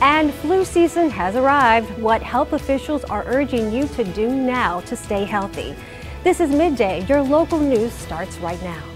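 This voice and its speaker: Music plays in the background as a woman talks at a moderate pace. Her pitch swings very widely. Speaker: TV news anchor. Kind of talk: TV news anchor read.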